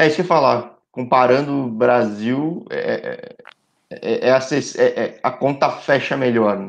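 Speaking at a very slow pace, a man talks against a quiet background. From Brazil, São Paulo. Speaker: sports channel host. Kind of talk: casual interview livestream. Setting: live stream. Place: home room. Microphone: video call.

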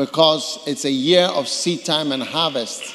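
Ordinary pitch variation in a man's voice. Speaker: preacher. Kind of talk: sermon. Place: hall. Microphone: handheld.

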